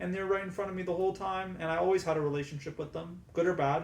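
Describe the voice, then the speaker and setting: The voice belongs to a man and is somewhat breathy. He keeps his intonation fairly even. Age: 20s. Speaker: cancer patient vlogger. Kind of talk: reading aloud.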